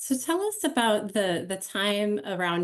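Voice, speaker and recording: At a fairly slow pace, a woman talks in a normal speaking voice. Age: 40s. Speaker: panel moderator. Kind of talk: panel interview. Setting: home office.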